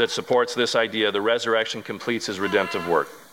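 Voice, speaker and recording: Noticeable background noise runs under the recording. A man speaks at a medium pitch. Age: 40s. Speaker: pastor. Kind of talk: sermon. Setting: church.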